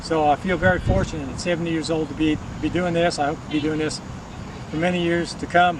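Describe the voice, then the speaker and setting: The speech comes at a very fast pace. Noticeable background noise runs behind it. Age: 70s. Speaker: senior track athlete. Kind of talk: interview testimonial.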